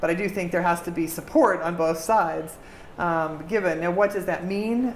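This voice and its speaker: A woman with an American accent speaks in a fairly low voice, with audible echo in the room. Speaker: diplomat. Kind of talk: interview. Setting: audience of students. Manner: fast.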